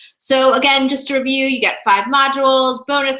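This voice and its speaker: In a room with audible echo, a woman with a high voice projects loudly in a bright, sharp tone. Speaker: professional organizer. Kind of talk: sales pitch. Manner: fast; animated.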